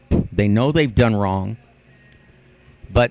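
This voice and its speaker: An animated man's voice at medium pitch, with ordinary pitch variation and music in the background. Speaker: video blogger. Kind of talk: monologue rant. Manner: loud.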